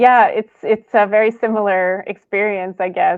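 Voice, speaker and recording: Her intonation stays fairly even at a medium pitch. This woman speaks at a fairly slow pace. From Poland, then Canada. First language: Polish. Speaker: podcast host. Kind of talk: interview.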